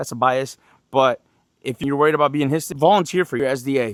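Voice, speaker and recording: Talking at a very fast pace, a man with a fairly high pitch is heard in a dry, close sound with no echo on a very clean recording with a silent background. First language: not English. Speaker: Marine drill instructor. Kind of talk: opinion rant video. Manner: animated.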